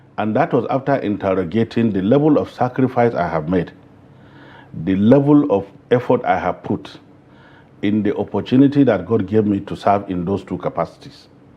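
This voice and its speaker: A man with a northern Nigerian accent speaks at a moderate pace. His pitch is fairly low, with ordinary variation. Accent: northern Nigerian (Hausa) English. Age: 60s. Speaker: politician. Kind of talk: interview.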